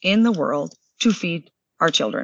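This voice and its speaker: At a moderate pace, a woman with a Western Canadian accent speaks with lively intonation. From southern Alberta, Canada. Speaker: food company CEO. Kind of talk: interview.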